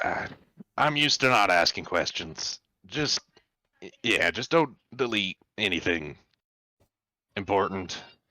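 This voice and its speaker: A man puts on a raspy character voice, pitched fairly low, with very wide swings in pitch. He keeps a moderate pace with long, frequent pauses, and the sound is dry and close with no echo. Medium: actual play. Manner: easygoing, hesitant.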